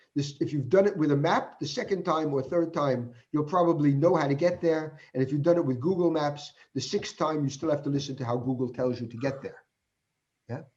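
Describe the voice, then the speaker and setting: Somewhat breathy speech with an American accent, a fairly quick pace and ordinary pitch variation. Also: man, fairly high pitch for a man. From United States. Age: 60s. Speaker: professor. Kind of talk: Q&A after keynote lecture. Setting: online video conference. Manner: halting.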